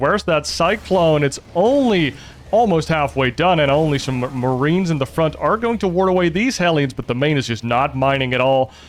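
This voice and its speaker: A man's fairly high voice at a moderate pace, lively in intonation, over background music. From Netherlands. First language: Dutch. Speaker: esports commentator. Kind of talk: casual chat; live commentary. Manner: animated.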